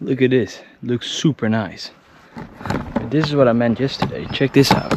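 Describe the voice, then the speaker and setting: A man at a moderate pace with fairly even intonation, against noticeable background noise. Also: medium pitch for a man. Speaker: outdoor vlogger. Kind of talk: vlog narration. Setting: outdoors. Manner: quiet.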